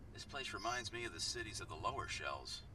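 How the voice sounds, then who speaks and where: Loud background noise fills the clip. Over it, a man rattles along at a very fast pace in a put-on character voice. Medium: video game. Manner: formal, measured.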